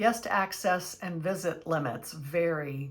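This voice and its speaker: A woman uses an ordinary speaking voice with ordinary pitch variation. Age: 60s. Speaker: travel vlogger. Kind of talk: tutorial.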